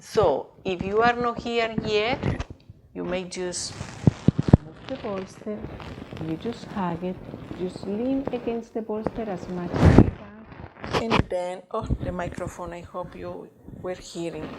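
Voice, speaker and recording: A woman speaks very slowly in a calm, soothing tone at a medium pitch with ordinary pitch variation. Noticeable background noise sits behind her. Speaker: yoga teacher. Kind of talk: guided yoga class. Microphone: mic pressed into bolster, muffled.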